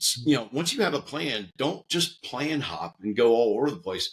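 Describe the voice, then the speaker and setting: An American-accented man with vocal fry talks at a moderate pace, his medium pitch swinging very widely. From US Northeast. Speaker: army veteran, security consultant. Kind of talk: podcast interview. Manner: conversational with fillers.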